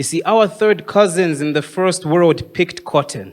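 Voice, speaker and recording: This is a plain, everyday voice with lively intonation. The pace is fairly slow. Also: man. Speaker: spoken word poet. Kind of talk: live spoken word poetry performance. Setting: live open mic event.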